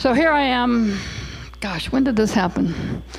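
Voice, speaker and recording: Speech comes at a fairly slow pace with audible room echo. Noticeable background noise runs underneath. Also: woman. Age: 60s. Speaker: hearing loss advocate speaker. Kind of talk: presentation talk. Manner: casual, conversational.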